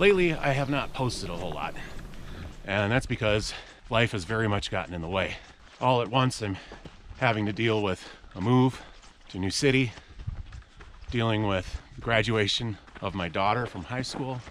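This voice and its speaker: Noticeable background noise surrounds a man with a medium pitch and ordinary pitch variation. He keeps a moderate pace, with long, frequent pauses. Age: 40s. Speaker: outdoor vlogger. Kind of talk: vlog monologue while hiking. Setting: outdoors on a hiking trail.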